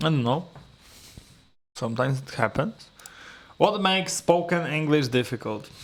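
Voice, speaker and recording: At a moderate pace, a man with a fairly high pitch and a non-native accent uses lively intonation broken by long, frequent pauses. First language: not English. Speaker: English learner and video creator. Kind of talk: solo speaking practice, answering questions. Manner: halting, searching for words.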